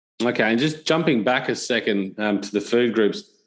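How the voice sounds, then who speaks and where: A man with a plain, everyday voice speaks at a fairly low pitch and a moderate pace against a quiet background. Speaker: podcast host. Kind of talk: podcast interview questions.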